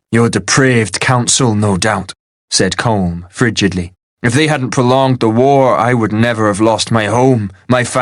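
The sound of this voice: The clip has an unforced reading voice over a quiet background.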